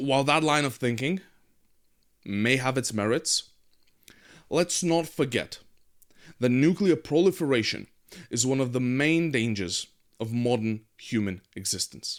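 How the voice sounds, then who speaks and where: This man speaks at a fairly slow pace and medium pitch. His intonation is lively, broken by long, frequent pauses. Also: very clean recording, silent background. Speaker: political commentary show host. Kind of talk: news commentary monologue. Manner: hesitant with filler words.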